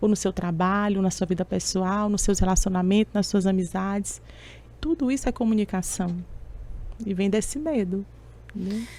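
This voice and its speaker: At a moderate pace, a woman speaks with long, frequent pauses. Her somewhat breathy, medium-pitched voice has a dark, mellow tone and ordinary pitch variation. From Brazil, Teresina (Piauí). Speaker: public speaking mentor and coach. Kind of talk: interview.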